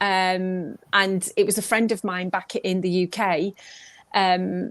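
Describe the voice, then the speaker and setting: A woman with a slight Manchester accent talks at a medium pitch and a very slow pace against a quiet background. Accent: slight Mancunian twang. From northern England, Manchester. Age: 50s. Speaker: pop singer. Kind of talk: interview. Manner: animated.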